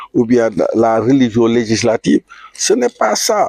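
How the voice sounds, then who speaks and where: Here a man is speaking. The sound is dry and close, with no echo. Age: 80s+. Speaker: retired aviation technician and author. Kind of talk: street interview. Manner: halting, many repetitions.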